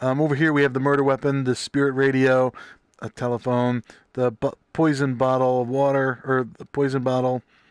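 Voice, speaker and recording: A man speaks at a medium pitch against a quiet background. The sound is dry and close with no echo. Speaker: video game streamer. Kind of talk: gameplay commentary. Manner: fast.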